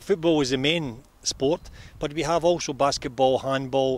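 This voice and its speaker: The dry sound carries no echo as a man speaks at a moderate pace with ordinary pitch variation. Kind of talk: interview answer. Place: stadium. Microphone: handheld.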